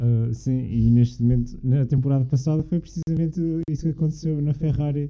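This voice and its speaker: This man's voice sits fairly high in pitch, with a dark, mellow tone. He talks at a fairly quick pace and keeps his intonation fairly even. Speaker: university student. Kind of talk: casual chat.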